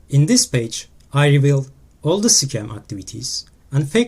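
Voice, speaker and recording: A man with a non-native accent speaks at a fairly slow pace in a fairly high pitch. His voice is somewhat breathy, with lively intonation. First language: not English. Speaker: crypto scam investigator. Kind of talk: screen-recorded exposé talk.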